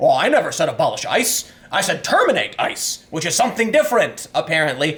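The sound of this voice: A man puts on a character voice and talks fairly quickly.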